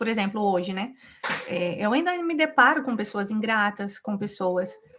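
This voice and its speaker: A woman with a rural Brazilian accent, a fairly high pitch, lively intonation and a fairly slow pace. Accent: rural Brazilian Portuguese (self-described). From Brazil, rural countryside. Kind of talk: live devotional Bible teaching. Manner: informal, conversational with many fillers.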